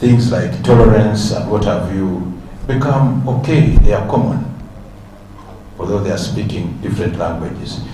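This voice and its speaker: At a moderate pace, a man speaks with ordinary pitch variation amid audible room echo and noticeable background noise. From Uganda (West Nile, Lugbara speaker). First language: Lugbara. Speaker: symposium speaker. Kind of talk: public speech. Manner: halting, with many fillers.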